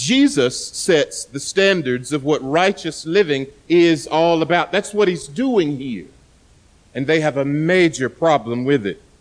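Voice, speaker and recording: Fairly high-pitched and lively in intonation, a man talks at a fairly slow pace. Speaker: pastor. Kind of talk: sermon. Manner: loud; soft-spoken.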